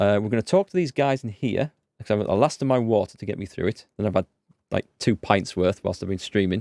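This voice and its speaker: A man talks at a very fast pace in a fairly low pitch, with ordinary pitch variation and a dark, mellow tone, the sound dry and close with no echo. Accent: Yorkshire. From North Yorkshire, northeast England. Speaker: gaming streamer. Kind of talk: live let's play commentary. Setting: live stream. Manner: casual, hesitant with fillers.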